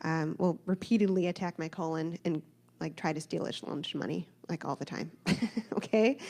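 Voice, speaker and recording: A woman with a fairly low pitch and a dark, mellow tone speaks at a moderate pace, using vocal fry and ordinary pitch variation. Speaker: church member sharing testimony. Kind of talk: testimony. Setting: church.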